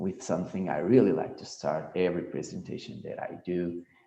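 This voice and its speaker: There is audible room echo as a man speaks with a Portuguese accent. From Portugal, central region. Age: young. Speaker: sports biomechanics researcher. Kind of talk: conference presentation. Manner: slow.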